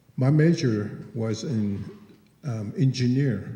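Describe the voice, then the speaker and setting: This man's medium-pitched voice has a dark, mellow tone, a somewhat breathy quality and ordinary pitch variation. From Navajo Nation, Big Mountain area. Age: 60s. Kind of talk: public comment at forum Q&A. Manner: halting, many fillers.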